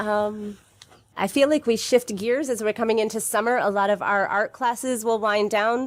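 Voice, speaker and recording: Speaking at a moderate pace, a woman has an ordinary speaking voice, a fairly high pitch and fairly even intonation. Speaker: community farm and art program organizer. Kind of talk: radio interview. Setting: radio studio.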